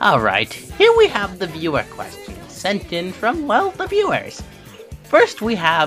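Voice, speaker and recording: A put-on character voice at a fairly slow pace, with clear music in the background. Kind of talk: parody talk show host. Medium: audio drama.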